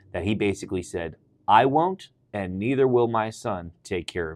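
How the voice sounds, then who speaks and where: A normal speaking voice at a moderate pace, with ordinary pitch variation and a quiet background. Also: man. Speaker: pastor. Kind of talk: reading aloud; casual chat.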